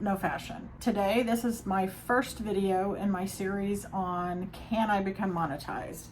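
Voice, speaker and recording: A somewhat breathy voice at a fairly slow pace, with very even loudness, fairly even intonation and hardly any pauses. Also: woman, medium pitch for a woman. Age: 50s. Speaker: nanny and therapy student. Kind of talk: casual talk to camera.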